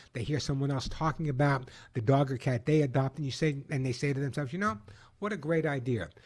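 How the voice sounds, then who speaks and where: A somewhat breathy man, fairly high-pitched, with ordinary pitch variation and a quiet background. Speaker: pet expert radio host. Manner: animated, punchy and salesy, with rhythmic catchphrases and repetition; fast-paced and enthusiastic, conversational and jokey.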